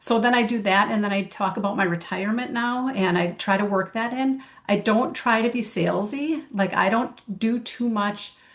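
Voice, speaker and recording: A woman speaks at a moderate pace with hardly any pauses, using a plain, everyday voice that sits fairly high and shows ordinary pitch variation. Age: 60s. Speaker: network marketing consultant. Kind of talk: casual chat.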